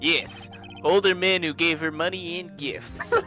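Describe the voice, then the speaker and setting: A man puts on a nasal character voice with a high pitch at a fairly slow pace. Clear music plays in the background. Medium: fan dub. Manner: condescending, precise.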